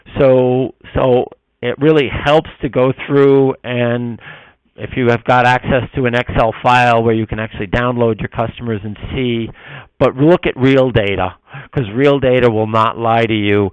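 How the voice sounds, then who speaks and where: A man's medium-pitched voice at a moderate pace, with fairly even intonation and a dry, close sound with no echo. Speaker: marketing webinar presenter. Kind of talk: webinar presentation. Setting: online webinar. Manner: halting, many fillers.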